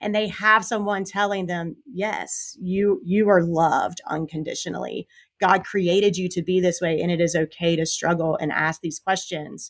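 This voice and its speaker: At a moderate pace and with hardly any pauses, a woman speaks in a medium pitch and fairly even intonation in a very clean recording with a silent background. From South Carolina, US South. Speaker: youth minister. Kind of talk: podcast interview.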